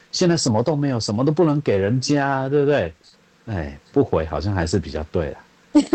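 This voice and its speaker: At a moderate pace, a man with a medium-pitched, dark, mellow voice makes very wide pitch swings. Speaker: visually impaired voice actor. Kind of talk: casual chat. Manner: blunt.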